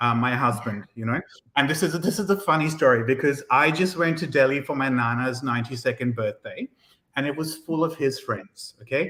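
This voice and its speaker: Speaking at a fairly quick pace, a man has a fairly high pitch and a bright, sharp, animated tone. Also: ordinary pitch variation. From India. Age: 30s. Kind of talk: interview conversation.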